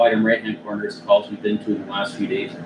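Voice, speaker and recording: A man with a Canadian accent talks very fast. Noticeable background noise runs behind him. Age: 50s. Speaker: fire chief. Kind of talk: council meeting report.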